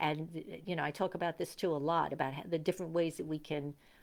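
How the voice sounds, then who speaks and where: This woman's voice sits very deep and low in pitch, with vocal fry. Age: 70s. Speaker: spiritual teacher / life coach. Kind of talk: casual talk to camera. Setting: indoors at home. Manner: halting, many fillers.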